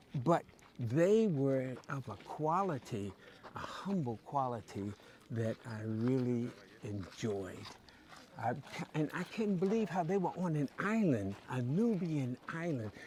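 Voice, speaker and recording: A man with an American accent talks at a very slow pace with long, frequent pauses. His pitch swings very widely over noticeable background noise. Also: medium pitch for a man. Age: 70s. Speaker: traveler interviewee. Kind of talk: interview answer.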